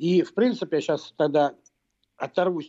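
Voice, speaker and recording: This man has a plain, everyday voice. His pitch moves in an ordinary way. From Russia, Moscow. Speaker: political scientist and professor. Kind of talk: radio interview. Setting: remote link to radio studio.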